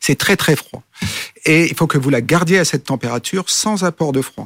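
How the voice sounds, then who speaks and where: In a normal speaking voice, a man speaks at a moderate pace with ordinary pitch variation, the sound dry and close with no echo. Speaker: company CEO. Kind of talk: interview.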